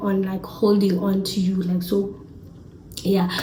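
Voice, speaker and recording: There is audible room echo and noticeable background noise. A woman speaks at a medium pitch. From South Africa, Eastern Cape. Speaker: YouTuber. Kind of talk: casual vlog talk to camera.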